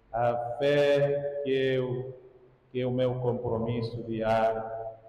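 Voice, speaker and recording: A man with a medium pitch speaks in a monotone, flat intonation, with audible room echo and noticeable background noise. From Angola. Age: 60s. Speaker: priest. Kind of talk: sermon. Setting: church.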